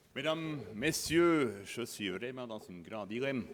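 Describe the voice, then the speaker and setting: A man speaks very slowly with a strong Bernese Oberland accent. Audible room echo is in the recording. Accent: strong Bernese Oberland Swiss German. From Bernese Oberland, Switzerland. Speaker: border guard commander. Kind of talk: conference talk.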